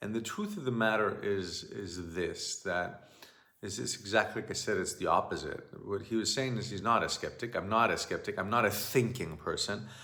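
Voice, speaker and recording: A man with a Greek accent at a moderate pace. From Greece. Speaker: shamanic teacher. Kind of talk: monologue talk. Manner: halting.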